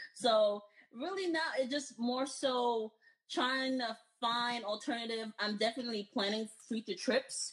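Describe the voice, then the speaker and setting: A woman with an American accent speaks at a fairly slow pace in a high pitch with ordinary pitch variation. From United States, Haitian parents. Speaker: healthcare recruiter. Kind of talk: casual chat.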